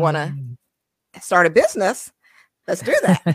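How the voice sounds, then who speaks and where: The woman speaking has a slight Caribbean accent. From born in Trinidad, raised in US. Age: 40s. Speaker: financial advisor. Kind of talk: casual interview chat. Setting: video call.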